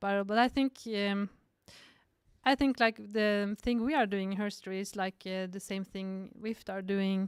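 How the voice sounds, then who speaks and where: A woman with a Norwegian accent at a fairly slow pace and fairly even intonation, in a very clean recording with a silent background. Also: medium pitch for a woman. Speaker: cinematographer and film director. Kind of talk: podcast interview. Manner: halting.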